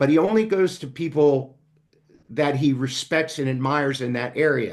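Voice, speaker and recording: Here is a man with a plain, everyday voice, fairly high in pitch. He keeps a moderate pace and ordinary pitch variation. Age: 60s. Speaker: business coach and speaker. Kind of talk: interview conversation. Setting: podcast.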